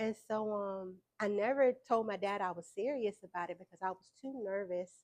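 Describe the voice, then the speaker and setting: A woman speaks at a medium pitch with ordinary pitch variation. Her loudness swings widely. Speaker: entrepreneur and musician. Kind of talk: interview. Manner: hesitant, many fillers.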